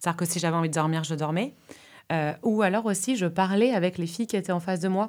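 Her speech moves very fast. The woman's pitch rises and falls in an ordinary way. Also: medium pitch for a woman. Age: 30s. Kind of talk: casual conversation.

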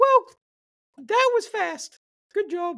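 A put-on character voice comes out at an extremely high pitch. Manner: dry, casual, slightly sarcastic.

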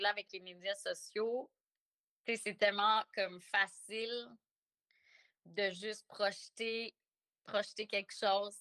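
A woman speaks very slowly at a medium pitch, her tone bright and sharp. The intonation is fairly even, and the sound is dry and close with no echo. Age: 40s. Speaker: cacao facilitator. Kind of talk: interview conversation. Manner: halting.

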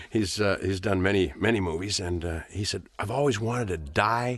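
A plain, everyday voice in a General American accent, at a moderate pace with ordinary pitch variation. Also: man. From Los Angeles, California. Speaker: actor. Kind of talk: casual chat, film commentary. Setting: studio. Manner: chatty, laughs often.

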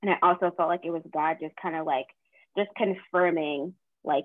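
In an American accent, a woman with a fairly low pitch talks at a moderate pace with fairly even intonation. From Boston. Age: 20s. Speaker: podcast co-host. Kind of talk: casual chat.

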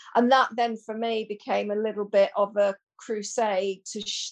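With a plain, everyday voice at a medium pitch, a woman speaks at a moderate pace against a quiet background, the sound dry and close with no echo. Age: 50s. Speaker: menopause educator and therapist. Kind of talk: casual chat.

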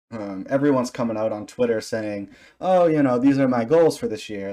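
A man with a dark, mellow tone against a quiet background. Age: 20s. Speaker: podcast host and streamer. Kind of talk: casual interview chat. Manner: animated.

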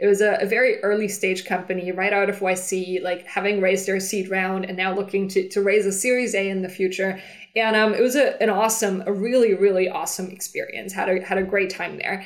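At a fairly quick pace with hardly any pauses, a woman speaks at a medium pitch in a flat, monotone intonation. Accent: German. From Germany. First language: German. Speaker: startup founder and CEO. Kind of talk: interview. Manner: halting.

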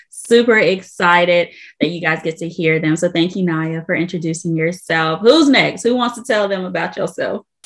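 A woman speaks in an ordinary speaking voice, fairly low in pitch, at a moderate pace. Her pitch variation is ordinary, and the background is quiet. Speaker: faith-based podcast host. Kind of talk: casual faith conversation with prayer.

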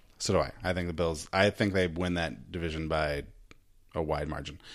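In a very clean recording with a silent background, a man with a very deep, low voice speaks at a moderate pace in an American accent. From US, Idaho (McCall). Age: 40s. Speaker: podcast host. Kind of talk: casual chat.

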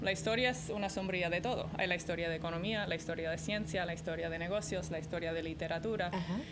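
A woman with a non-native accent and a fairly low pitch, talking at a very fast pace with hardly any pauses and fairly even intonation, over noticeable background noise. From American parents, raised moving around. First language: English (speaking Spanish). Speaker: arena executive and startup mentor. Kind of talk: interview.

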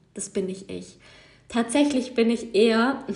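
A woman with a fairly high pitch talks at a moderate pace amid noticeable background noise. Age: 20s. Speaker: yoga teacher and podcast host. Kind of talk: casual solo monologue. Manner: unscripted, with many fillers.

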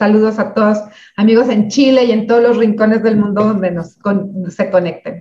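Her pitch is fairly high, and her intonation stays fairly even. The woman, somewhat breathy, speaks with a Mexican accent. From Mexico, Michoacán. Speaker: speaker and community founder. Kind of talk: interview.

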